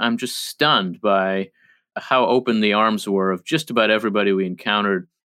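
A man talks at a moderate pace. His pitch varies an ordinary amount. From New Jersey, born in Israel. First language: Hebrew. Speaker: think tank scholar and author. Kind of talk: interview.

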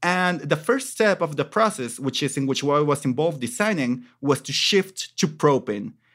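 A man with a Mexican accent talks at a moderate pace with hardly any pauses and lively intonation. The recording is very clean, with a silent background. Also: fairly high pitch for a man. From Mexico, Michoacan. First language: Spanish. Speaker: podcast co-host. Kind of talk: casual chat.

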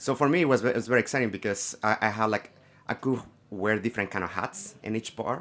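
With a Mexican accent, a man speaks at a very fast pace. His pitch is medium, with ordinary pitch variation. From Mexico, Guadalajara. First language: Spanish. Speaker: tequila brand ambassador. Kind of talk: casual chat.

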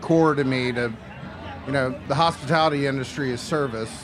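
Music plays in the background as a man with a fairly high pitch speaks with fairly even intonation. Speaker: chef and restaurant consultant. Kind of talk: casual chat. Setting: live festival stage with audience.

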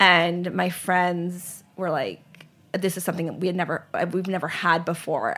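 In an American accent, a woman speaks at a moderate pace in a fairly low, monotone voice with flat intonation. Her tone is bright and sharp, and the recording is very clean with a silent background. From US South, Charlotte, North Carolina. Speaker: ice cream company founder. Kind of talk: interview.

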